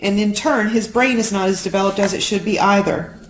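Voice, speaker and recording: With an American accent, a woman speaks at a fairly quick pace and medium pitch in a plain, everyday voice. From Florida. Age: 40s. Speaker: paralegal. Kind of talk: live story reading.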